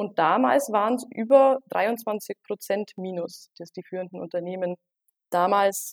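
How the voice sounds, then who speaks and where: In a dry, close sound with no echo, a woman with a normal speaking voice and medium pitch talks at a fairly slow pace, her intonation lively and her loudness swinging widely. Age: 20s. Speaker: market research consultant. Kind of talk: interview.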